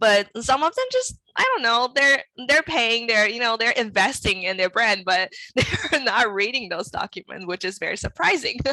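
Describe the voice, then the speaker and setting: A woman speaks at a moderate pace with fairly high pitch, lively intonation, and a bright, sharp tone. The sound is dry and close, with no echo. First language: not English. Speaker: brand and web designer, studio owner. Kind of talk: interview.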